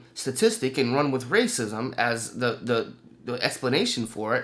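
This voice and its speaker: The man's pitch moves in a normal way. He keeps a moderate pace. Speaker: political commentary video creator. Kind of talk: explainer monologue presenting statistics. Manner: hesitant, many fillers.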